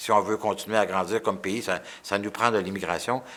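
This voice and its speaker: On a very clean recording with a silent background, a man with a fairly low pitch speaks at a moderate pace in a bright, sharp tone. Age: 60s. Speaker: politician. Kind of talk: interview answers. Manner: halting, many repetitions; enthusiastic.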